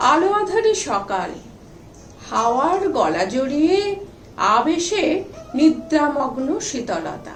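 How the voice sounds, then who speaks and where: Over music in the background, a woman's high voice swings very widely in pitch. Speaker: writer. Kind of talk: poetry reading.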